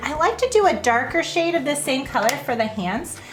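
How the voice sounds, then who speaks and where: Amid audible room echo and noticeable background noise, a woman projects a raised voice at a high pitch with very wide pitch swings. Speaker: art teacher for kids. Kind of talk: drawing tutorial. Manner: casual, filler-heavy.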